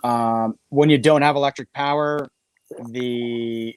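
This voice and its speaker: A plain, everyday voice, a man with a Canadian accent at a medium pitch, fairly even in intonation, in a dry, close sound with no echo. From Canada. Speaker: podcast co-host. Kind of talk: casual chat.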